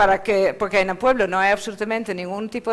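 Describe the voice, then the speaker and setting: A woman with a Dutch accent and a medium pitch talks at a very fast pace. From Netherlands. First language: Dutch (speaking Spanish). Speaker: rural arts centre founder. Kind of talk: panel presentation. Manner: hesitant, with fillers.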